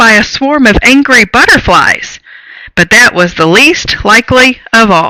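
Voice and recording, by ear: Lively intonation comes through while reading aloud in a natural voice.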